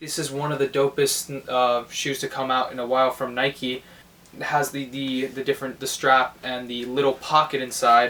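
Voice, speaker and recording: With an American accent, a man talks at a fairly high pitch. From New York City. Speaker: sneaker collector YouTuber. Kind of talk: show-and-tell video. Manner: casual, many fillers.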